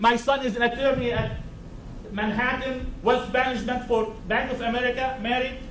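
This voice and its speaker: A loud man's voice, extremely high-pitched, with a non-native accent, flat monotone delivery at a moderate pace, audible room echo and noticeable background noise. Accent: foreign. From Syria. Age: 50s. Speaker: psychiatrist speaking at public hearing. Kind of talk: public testimony. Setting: town board public meeting.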